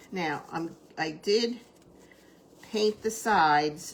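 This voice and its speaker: A woman with a New Jersey accent, vocal fry and lively intonation. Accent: New Jersey American. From US Northeast, New Jersey. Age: 70s. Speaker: crafter, retired teacher. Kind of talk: live craft tutorial with chat. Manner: casual, chatty with filler words.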